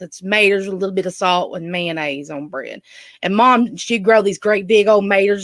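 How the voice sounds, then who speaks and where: A woman with a medium pitch and ordinary pitch variation talks at a moderate pace, her loudness swinging widely. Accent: strong Southern US. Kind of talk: casual, storytelling.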